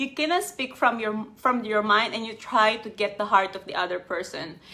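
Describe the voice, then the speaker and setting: At a moderate pace, a woman with a non-native accent speaks at a fairly high pitch with lively intonation and big swings in loudness. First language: not English. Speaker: life coach. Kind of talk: live stream talk.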